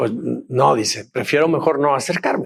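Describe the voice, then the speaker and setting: A man's voice at a fairly slow pace with very wide pitch swings. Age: 60s. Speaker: pastor. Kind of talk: sermon.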